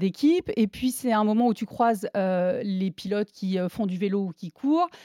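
A dark, mellow tone at a fairly slow pace, dry and close with no echo. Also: woman. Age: 40s. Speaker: sports journalist and runner. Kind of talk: testimony.

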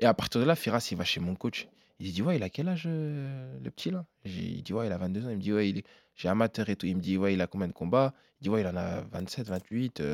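Speaking at a fairly quick pace with lively intonation, a man with a fairly low pitch comes through on a very clean recording with a silent background and a dry, close sound with no echo. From Belgium, Namur. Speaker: MMA fighter. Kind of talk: interview. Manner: animated.

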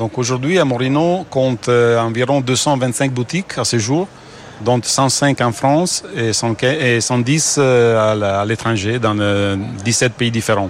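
With an Italian accent, a man speaks at a very slow pace over noticeable background noise. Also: medium pitch for a man, ordinary pitch variation. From Italy. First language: Italian (speaking French). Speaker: company founder. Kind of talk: business interview.

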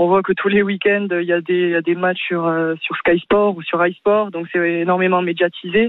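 With a plain, everyday voice, a woman speaks at medium pitch and a moderate pace, her intonation fairly even. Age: young. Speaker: volleyball player. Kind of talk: radio interview.

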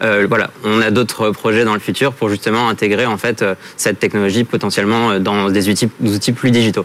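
A man speaks with fairly low pitch and monotone, flat intonation. His loudness stays very even. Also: fairly quick pace. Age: 30s. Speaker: startup founder. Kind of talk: pitch and jury Q&A.

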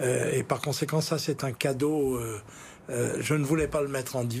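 A fairly even intonation carried on a somewhat breathy voice. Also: man. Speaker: lawyer and former politician. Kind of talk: TV political interview. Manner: halting, repeats words.

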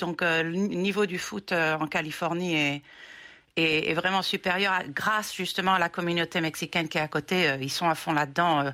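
With a bright, sharp tone and fairly even intonation, a woman speaks fairly slowly at a fairly low pitch. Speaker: player's mother. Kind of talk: interview. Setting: remote call.

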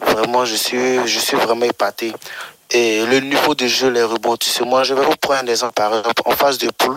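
A man's monotone, flat delivery at a moderate pace, in a dry, close sound with no echo. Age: 20s. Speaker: radio listener caller. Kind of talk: radio call-in.

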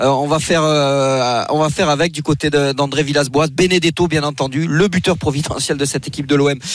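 This man has a normal speaking voice, fairly high in pitch. He talks at a fairly quick pace. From France, Marseille. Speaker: regional sports correspondent. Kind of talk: sports report.

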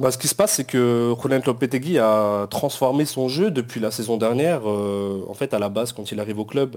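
The speaker, a man, has an unremarkable speaking voice pitched at a medium level. His intonation stays fairly even, and his pace is moderate. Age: 30s. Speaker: football club supporters' group president. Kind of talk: casual chat.

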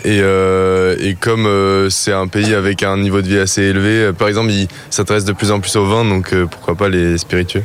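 Over noticeable background noise, a man speaks at a moderate pace with hardly any pauses. His fairly low voice is monotone and flat, with very even loudness. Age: 20s. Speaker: business school student. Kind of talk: street interview.

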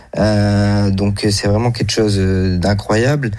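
Noticeable background noise accompanies a man speaking at a fairly slow pace. His pitch is fairly low and his intonation fairly even. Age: 20s. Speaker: amateur poker player. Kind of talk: interview. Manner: halting.

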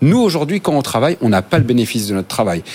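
Very wide pitch swings over noticeable background noise. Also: man. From France, Normandy. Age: 30s. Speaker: think-tank spokesperson. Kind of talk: panel debate.

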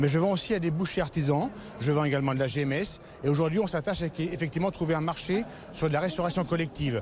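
Very fast and at a fairly high pitch, a man speaks with very even loudness and ordinary pitch variation over noticeable background noise. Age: 60s. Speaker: cattle farmer. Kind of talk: interview. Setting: agricultural trade fair.

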